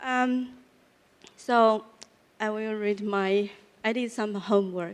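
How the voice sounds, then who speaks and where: The speaker has a Chinese accent and a very slow pace, with long, frequent pauses. Intonation stays fairly even. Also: woman, fairly high pitch for a woman. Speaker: real estate panelist. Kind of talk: conference panel discussion; reading from a script.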